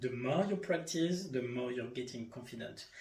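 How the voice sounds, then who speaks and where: A somewhat breathy voice with a French accent comes through with audible room echo. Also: man. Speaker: life coach and yoga instructor. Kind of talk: solo podcast monologue. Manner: halting.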